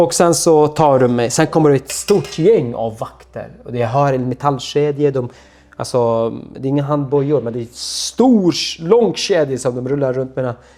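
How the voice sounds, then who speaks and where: At a moderate pace, a man speaks with a dark, mellow tone, fairly high in pitch with ordinary pitch variation. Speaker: torture survivor. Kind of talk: personal testimony.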